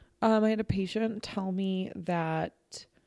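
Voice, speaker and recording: A woman's medium-pitched voice with ordinary pitch variation, in a very clean recording with a silent background. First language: non-English. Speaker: podcast co-host, speech pathologist. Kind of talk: casual chat.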